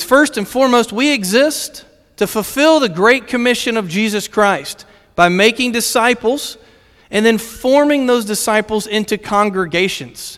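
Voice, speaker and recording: A high-pitched male voice with a Virginia accent, moderate pace and ordinary pitch variation. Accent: Virginia American. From Virginia, US. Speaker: missions director. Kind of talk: sermon. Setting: church stage with audience.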